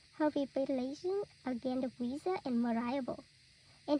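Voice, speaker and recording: The voice has a dark, mellow tone and ordinary pitch variation at a moderate pace. The sound is dry and close, with no echo. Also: woman. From Vietnam. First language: Vietnamese. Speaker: student. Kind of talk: reading aloud.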